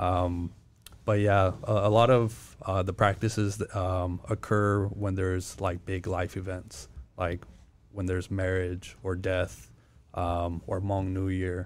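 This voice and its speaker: A man with a very deep, low voice and an American accent speaks at a very slow pace in a flat monotone, recorded very cleanly against a silent background. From California, US. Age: 20s. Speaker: podcast guest telling his family story. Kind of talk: casual interview chat.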